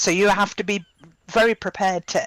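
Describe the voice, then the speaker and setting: The recording is very clean, with a silent background and a dry, close sound with no echo. A woman speaks at a moderate pace with a British accent. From UK. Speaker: playwright and theatre director. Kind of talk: casual panel discussion. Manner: halting, many fillers.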